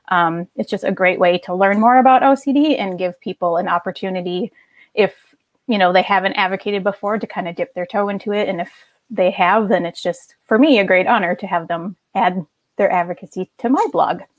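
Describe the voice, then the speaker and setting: A woman with a Minnesotan accent at a medium pitch and a fairly quick pace, with ordinary pitch variation, in a very clean recording with a silent background and a dry, close sound with no echo. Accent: Minnesota. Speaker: OCD advocate and blogger. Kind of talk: casual chat. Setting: live video stream.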